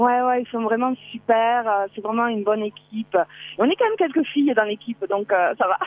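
With a strong southern French accent, a woman talks at a moderate pace in a fairly high pitch with ordinary pitch variation. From southern France. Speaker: breast cancer survivor and advocate. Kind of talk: phone interview. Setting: phone call outdoors at a bus stop.

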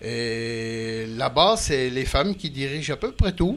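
The man's intonation is lively. He talks at a very slow pace. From eastern France, Jura. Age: 60s. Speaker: retired car body repairer, traveler. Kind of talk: interview. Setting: studio on a festival barge. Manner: halting.

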